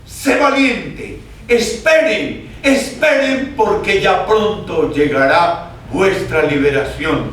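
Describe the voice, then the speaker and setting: A man's lively intonation amid noticeable background noise and audible room echo. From Colombia, Caldas (paisa region). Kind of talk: sermon. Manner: impassioned.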